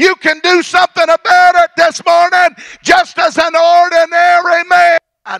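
Monotone, flat intonation at a fairly slow pace, very even loudness and a quiet background. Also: man, extremely high pitch for a man. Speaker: pastor. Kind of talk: sermon. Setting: church service. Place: church. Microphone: handheld.

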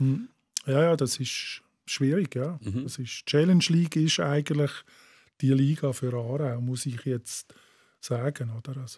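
Somewhat breathy and fairly high-pitched, a man speaks at a fairly slow pace with long, frequent pauses and ordinary pitch variation against a quiet background. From Bavaria, south of Munich. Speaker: writer and football poet; football poet. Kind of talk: casual chat. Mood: relaxed, chatty. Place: studio. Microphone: studio mic.

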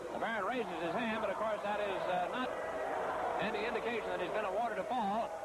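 Loud background noise fills the clip, though the sound is dry with no echo. The speech moves at a fairly quick pace. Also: man. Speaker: wrestling commentator. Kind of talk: live sports play-by-play commentary.

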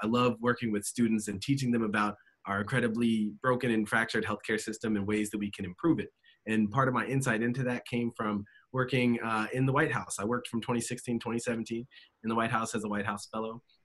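Very fast, fairly even speech from a man with an American accent against a quiet background. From Virginia. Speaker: congressional candidate and physician. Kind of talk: panel interview. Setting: video call. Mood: friendly, smiling, relaxed. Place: home room. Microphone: video call.

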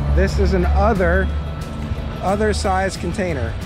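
With clear music in the background, a man speaks at a fairly slow pace in a dry sound with no echo. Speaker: geocaching vlogger. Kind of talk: casual vlog chat. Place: open country. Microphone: phone near.

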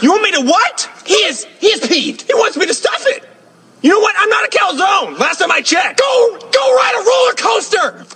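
Shouting in a cartoonish character voice, a man hits extremely high pitches with very wide pitch swings. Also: moderate pace. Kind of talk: comic overacting. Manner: indignant, loud, rambling.

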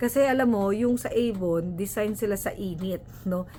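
Her pitch moves in a normal way. A woman talks at a moderate speed. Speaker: vlogger, nurse. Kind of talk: casual tutorial vlog. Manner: animated.

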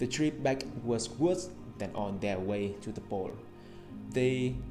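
Clear music plays in the background as a man with a Vietnamese accent speaks at a fairly slow pace with lively intonation. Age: young. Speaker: English learner. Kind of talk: reading aloud an English article. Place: home room. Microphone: earbuds.

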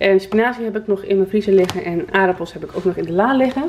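Behind noticeable background noise, a woman speaks at a moderate pace in a medium pitch with ordinary pitch variation. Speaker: vlogger. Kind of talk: casual vlog monologue. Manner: chatty, casual.

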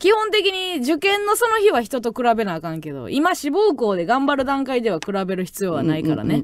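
The sound is dry, with no echo. Delivery is fairly quick, with hardly any pauses. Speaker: radio host. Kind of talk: radio talk, reading listener letter. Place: studio. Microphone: studio mic.

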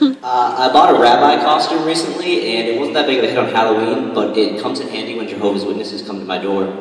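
A man talks at a very fast pace with hardly any pauses and lively intonation, and audible room echo surrounds his voice. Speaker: student comedian. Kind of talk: stand-up comedy routine. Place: hall. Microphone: handheld.

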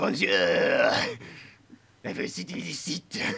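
A man's put-on character voice comes out raspy and fairly slow. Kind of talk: comic overacting. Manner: mock-polite and cheeky, peppering speech with French words.

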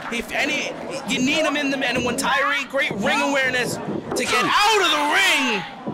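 A raised, projected male voice at an extremely high pitch for a man, ordinary pitch variation, and noticeable background noise. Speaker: wrestling color commentator. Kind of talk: live wrestling commentary. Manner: animated, fast, breathless.

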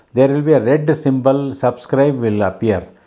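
Over a quiet background, the man's pitch varies in an ordinary way. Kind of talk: announcement to viewers. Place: home room.

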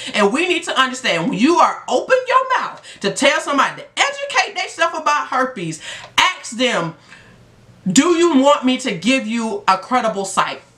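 At a moderate pace, a woman speaks in a raised, projected voice, high and animated, with very wide pitch swings. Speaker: STD life coach and vlogger. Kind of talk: passionate vlog rant. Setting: video blog. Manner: emphatic. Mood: frustrated, insistent. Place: home room. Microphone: phone near.

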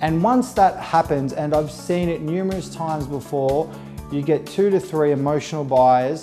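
With clear music in the background, a man with an Australian accent speaks in a passionate tone at a moderate pace. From Inner-West (Australia). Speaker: auctioneer. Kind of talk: casual talk to camera, promotional profile interview. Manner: passionate, conversational. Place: home room. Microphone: lapel.

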